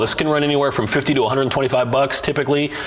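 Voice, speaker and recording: Audible room echo surrounds a man as he talks, with noticeable background noise present. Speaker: bodybuilding coach and podcast host. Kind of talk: live-streamed solo podcast answering viewer questions. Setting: live stream. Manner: fast; casual, many fillers.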